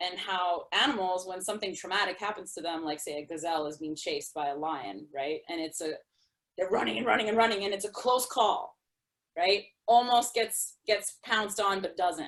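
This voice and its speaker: A woman speaks in an ordinary speaking voice at medium pitch, with lively intonation and a moderate pace. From New York City. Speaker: artist, storyteller and spoken word performer. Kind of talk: interview answer.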